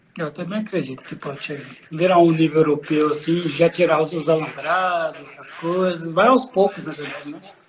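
The speech moves at a moderate pace with hardly any pauses, against noticeable background noise. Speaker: podcast co-host. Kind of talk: casual interview chat. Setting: video call.

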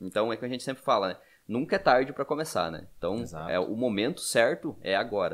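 Talking at a very fast pace, a man uses very wide pitch swings, his voice showing vocal fry. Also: medium pitch for a man. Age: 30s. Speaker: podcast host, financial educator. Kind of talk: casual chat.

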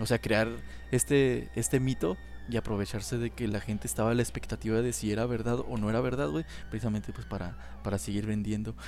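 The speaker talks at a very fast pace with a Mexican accent. The intonation is lively, touched with vocal fry. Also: man, fairly low pitch for a man. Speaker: podcast host. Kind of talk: casual chat.

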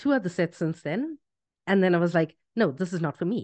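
Against a quiet background, a woman with an unremarkable speaking voice talks at a medium pitch and a moderate pace. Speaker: podcast host. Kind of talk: casual interview chat.

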